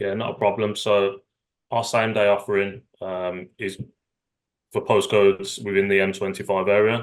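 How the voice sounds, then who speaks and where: A man speaks in a Birmingham accent at a moderate pace. His fairly low voice has monotone, flat intonation. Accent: Birmingham (Brummie). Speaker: retail executive. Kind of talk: webinar panel discussion.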